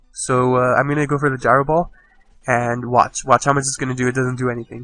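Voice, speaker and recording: Very fast and monotone, a man talks at medium pitch with flat intonation. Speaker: gaming video commentator. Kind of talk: gameplay commentary. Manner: casual with many fillers.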